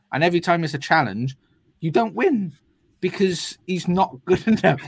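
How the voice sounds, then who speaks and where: A man with a Welsh accent speaks with lively intonation. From Wales. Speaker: football podcast co-host. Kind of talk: casual chat.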